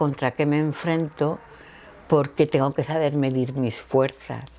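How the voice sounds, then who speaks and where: A woman speaks in a very deep, low voice with flat, monotone intonation. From Valencia region, Spain. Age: 60s. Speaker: cancer survivor. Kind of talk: interview testimony.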